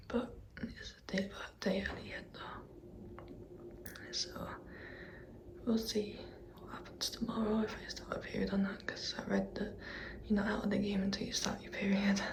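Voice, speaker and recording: Whispering at a moderate pace with long, frequent pauses and big swings in loudness, over noticeable background noise and audible room echo. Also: woman. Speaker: vlogger. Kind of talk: personal vlog. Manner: quiet.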